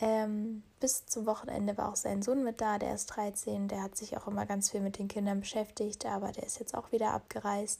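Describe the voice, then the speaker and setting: A woman speaks at a moderate pace with a medium pitch, a monotone, flat intonation and hardly any pauses. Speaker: au pair podcaster. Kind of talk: personal monologue. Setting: lying in bed in her room.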